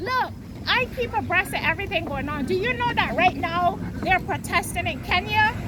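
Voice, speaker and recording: A woman talks at a moderate pace in an extremely high voice with lively intonation. Noticeable background noise is present. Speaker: street protester interviewed by a YouTuber. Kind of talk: heated debate.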